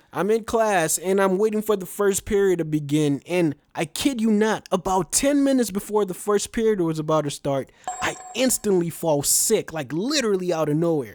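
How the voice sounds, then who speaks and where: Against noticeable background noise, a man with a high pitch speaks at a moderate pace with lively intonation. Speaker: animated storyteller. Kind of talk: casual animated storytime, first-person personal anecdote. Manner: casual, conversational, slangy, expressive.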